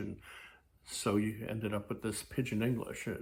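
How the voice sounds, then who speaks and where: Relaxed in tone and somewhat breathy, a man speaks at a moderate pace. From Hawaii. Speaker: YouTuber. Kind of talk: casual vlog monologue. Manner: many fillers, relaxed.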